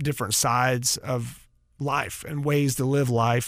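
Heard on a very clean recording with a silent background, the speaker has a Southern US accent and fairly even intonation. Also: man. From North Carolina. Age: 50s. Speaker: rock guitarist. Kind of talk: casual interview.

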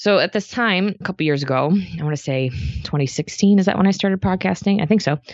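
A woman with a medium pitch rushes along very fast, her pitch varying in an ordinary way. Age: 30s. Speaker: nurse and podcast host. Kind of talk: podcast interview. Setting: studio.

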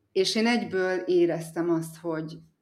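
The pace here is very slow. The speaker is a woman. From Hungary, Eger area. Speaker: mother living abroad, yoga teacher. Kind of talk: interview. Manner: calm, soothing.

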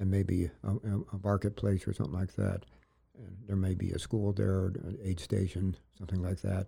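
A dark, mellow, somewhat breathy voice with an American accent, flat monotone intonation and a moderate pace, on a very clean recording with a silent background. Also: man, very deep, low pitch for a man. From upstate New York. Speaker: Vietnam veteran. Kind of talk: interview. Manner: halting.

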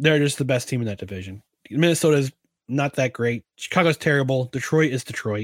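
A man talks at a fairly quick pace with lively intonation in a plain, everyday voice. The recording is very clean, with a silent background. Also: dry, close sound with no echo. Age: 40s. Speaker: sports podcast host. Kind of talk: casual solo Q&A chat.

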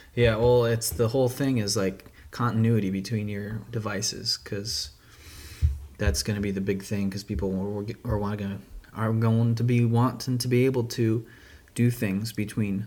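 A man talks at a moderate pace with a medium pitch and fairly even intonation. His tone is dark and mellow. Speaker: podcast host and web developer. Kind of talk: casual chat. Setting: secret podcast location with wine.

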